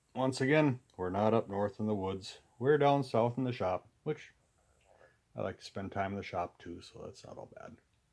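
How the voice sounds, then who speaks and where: At a moderate pace and medium pitch, a man with an American accent speaks in an unremarkable speaking voice with ordinary pitch variation. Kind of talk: casual talk to camera. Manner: relaxed, rambling.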